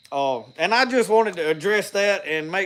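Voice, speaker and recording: A man with a strong Southern US accent talks with ordinary pitch variation. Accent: thick Southern country. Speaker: outdoors and homestead YouTuber, preacher. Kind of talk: casual live-stream talk to viewers. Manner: rambling, halting with repeated starts.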